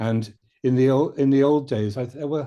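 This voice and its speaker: Against a quiet background, a man with a British accent speaks in a dark, mellow tone with ordinary pitch variation. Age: 70s. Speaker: shiatsu teacher. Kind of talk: panel discussion. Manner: halting, with many fillers and restarts.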